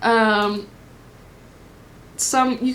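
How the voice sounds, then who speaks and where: A woman is speaking. Her pitch is fairly high. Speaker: tarot reader. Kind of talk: pick a card tarot reading. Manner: casual, filler-heavy.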